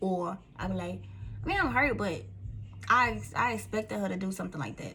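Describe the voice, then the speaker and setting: Speaking fairly quickly with a Southern US accent, a woman uses a very deep, low pitch, an animated tone and very wide pitch swings. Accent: country Southern. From Mississippi, US South. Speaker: vlogger. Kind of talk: casual talk to camera. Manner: repeats words, stumbles.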